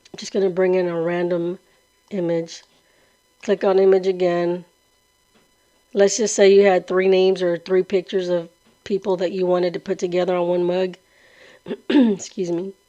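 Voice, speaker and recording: A woman speaks in a monotone, flat intonation. Long, frequent pauses break up her speech. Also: medium pitch for a woman, moderate pace. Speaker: crafting tutorial youtuber. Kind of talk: tutorial. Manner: casual.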